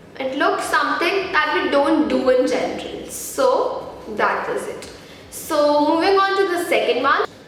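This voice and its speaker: Over noticeable background noise and audible room echo, a woman speaks at a fairly slow pace in an extremely high pitch with very wide pitch swings. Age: 20s. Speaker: beauty vlogger. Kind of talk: tutorial.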